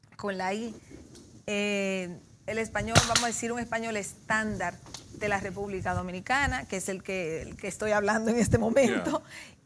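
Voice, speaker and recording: Against noticeable background noise, a woman of medium pitch speaks at a moderate pace with ordinary pitch variation. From Dominican Republic, Santiago (Cibao). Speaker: sociologist and political scientist. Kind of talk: TV interview.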